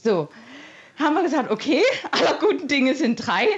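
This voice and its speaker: Very wide pitch swings from a woman, set against noticeable background noise. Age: 60s. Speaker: caller, mother. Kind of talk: phone-in testimony.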